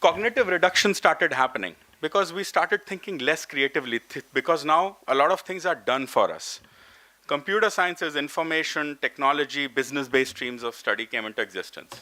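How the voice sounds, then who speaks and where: His voice is bright and sharp, fairly high for a man, and he talks at a fairly quick pace. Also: lively intonation. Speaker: professor at an education summit. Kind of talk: conference talk. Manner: fast.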